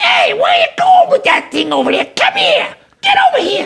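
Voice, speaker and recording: Shouting in a put-on character voice at a moderate pace. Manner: gruff, bossy, demanding.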